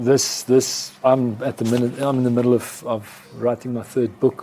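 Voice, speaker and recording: Over noticeable background noise, a man speaks very slowly in a monotone, flat delivery with a South African accent. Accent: Afrikaans South African English. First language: Afrikaans. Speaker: advertising executive. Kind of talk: interview.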